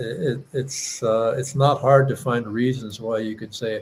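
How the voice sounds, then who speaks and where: At a fairly slow pace, a somewhat breathy man speaks at a medium pitch with ordinary pitch variation. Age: 70s. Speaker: musician and show host. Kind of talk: casual chat. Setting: live stream.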